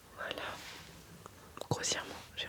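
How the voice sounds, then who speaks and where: A woman whispering in a gentle tone over noticeable background noise. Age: 20s. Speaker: ASMR creator. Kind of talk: ASMR makeup talk to camera. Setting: studio. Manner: whispered, gentle.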